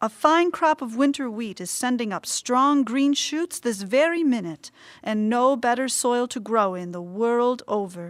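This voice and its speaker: A woman's put-on character voice, gruff and growling, high-pitched for a woman, with lively intonation, a moderate pace and hardly any pauses, on a very clean recording with a silent background. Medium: read story. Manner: gruff, growling.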